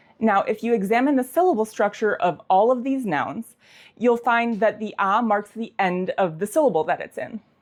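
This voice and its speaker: Against a quiet background, a woman with an ordinary speaking voice and a fairly high pitch speaks at a moderate pace with lively intonation. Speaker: language teacher. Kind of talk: educational tutorial to camera.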